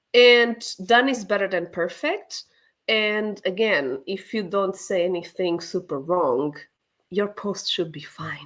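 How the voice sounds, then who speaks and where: This woman speaks at a very slow pace with a non-native accent. Her medium-pitched voice carries lively intonation. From Portugal. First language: Portuguese. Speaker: sales trainer. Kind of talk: webinar panel discussion. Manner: casual, conversational.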